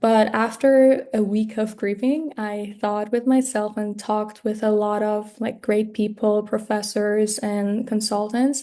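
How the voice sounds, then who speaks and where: Speaking in a Persian accent, a woman uses a fairly high pitch and a dark, mellow tone. Her intonation is monotone and flat, and she talks at a fairly slow pace with hardly any pauses. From Iran. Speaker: graduate student. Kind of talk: mock job interview. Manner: halting, many fillers.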